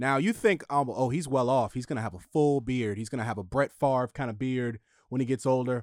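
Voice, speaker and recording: A man's words come at a middling tempo in a plain, everyday voice. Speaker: studio sound engineer. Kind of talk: casual chat.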